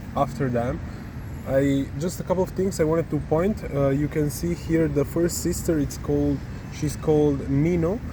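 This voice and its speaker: Someone with an Italian accent speaks at a moderate pace with ordinary pitch variation. The loudness stays very even. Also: man, fairly high pitch for a man. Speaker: travel vlogger. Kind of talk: walking vlog narration.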